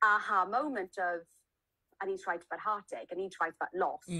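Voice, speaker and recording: A woman talks at a fairly quick pace with a bright, sharp tone. Her pitch is medium, with ordinary pitch variation. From South Wales, then Hong Kong from age nine. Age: 30s. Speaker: novelist. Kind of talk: interview. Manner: pauses and restarts.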